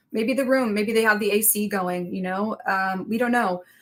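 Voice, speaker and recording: This woman has a bright, sharp tone, a fairly high pitch and ordinary pitch variation. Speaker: body language analyst. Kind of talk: live stream commentary. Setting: live stream with screen share.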